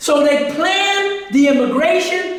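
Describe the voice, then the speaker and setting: Someone speaks with an American accent. Background noise is noticeable throughout. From New York City. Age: 80s+. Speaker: history lecturer. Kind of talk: lecture. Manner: halting.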